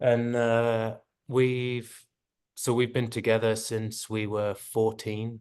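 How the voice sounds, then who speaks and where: A man with an English accent speaks very slowly at a medium pitch, in a monotone, flat intonation. The background is quiet. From England. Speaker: long-distance cycle tourist. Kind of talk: casual chat. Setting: video call.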